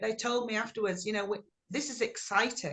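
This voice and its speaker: A woman speaks in an English accent at a moderate pace. Her tone is bright and sharp. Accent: English, kept unamericanized. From England. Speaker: blues singer. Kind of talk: interview. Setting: video call.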